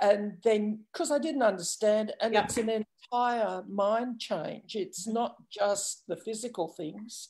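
Against a quiet background, a woman speaks in an Australian accent at a fairly slow pace. Her pitch is fairly high, with ordinary variation. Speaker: dog training student. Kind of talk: casual chat. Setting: video call. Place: home room. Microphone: video call.

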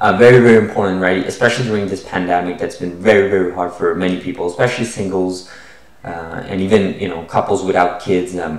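Someone speaks at a very fast pace with fairly even intonation. Room echo is audible. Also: man, very deep, low pitch for a man. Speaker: science investing channel host. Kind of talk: casual vlog chat. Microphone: webcam.

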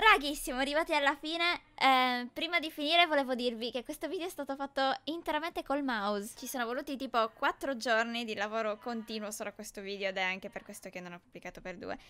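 A woman with a high pitch and a bright, sharp tone talks at a very fast pace in a raised, projected voice, with lively intonation, big swings in loudness and hardly any pauses. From northern Italy, Brescia. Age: 20s. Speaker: gaming YouTuber. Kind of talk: personal storytelling narration.

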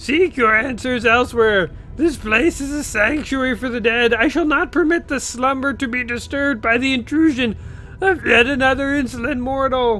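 A man's put-on character voice at an extremely high pitch and moderate pace, with clear background noise. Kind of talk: archaic, formal. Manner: commanding, forbidding.

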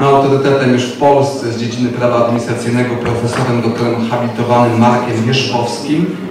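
With noticeable background noise and strong room echo, a man talks at a fairly quick pace in a monotone, flat intonation. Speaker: city official addressing council. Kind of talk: formal speech. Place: hall.

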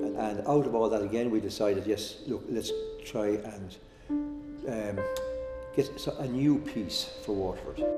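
Clear music can be heard in the background. A man talks over it. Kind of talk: interview answer. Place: home room.

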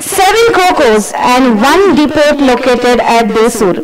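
A woman speaks over loud background noise. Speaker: event host. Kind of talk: formal speech. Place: stage. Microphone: podium.

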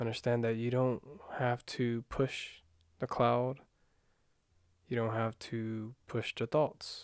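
Soft-spoken and calm, a man talks at a very slow pace in a monotone, flat way with long, frequent pauses, recorded dry with no echo against a quiet background. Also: medium pitch for a man. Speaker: meditation guide. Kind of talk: guided meditation. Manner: calm, unhurried, soft-spoken guiding; hesitant, self-correcting, casual. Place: home room.

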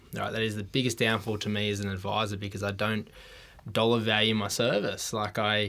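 Speaking at a very fast pace, a man with an Australian accent has a fairly low pitch. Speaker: financial adviser, ex-military; podcast guest. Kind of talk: casual interview chat. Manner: energetic. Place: studio. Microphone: studio mic.

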